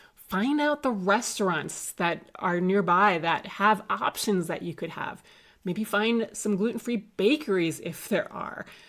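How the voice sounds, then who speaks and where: Speaking at a fairly slow pace with an American accent, a woman with a plain, everyday voice and a medium pitch uses lively intonation on a very clean recording with a silent background. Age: 40s. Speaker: health coach. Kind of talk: casual talk to camera.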